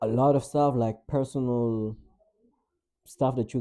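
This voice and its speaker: This man has a dark, mellow tone. His pitch sits at a medium level. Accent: non-native. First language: not English. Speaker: vlogger and musician. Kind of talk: casual vlog monologue. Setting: home, in own room by window. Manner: casual, filler-heavy.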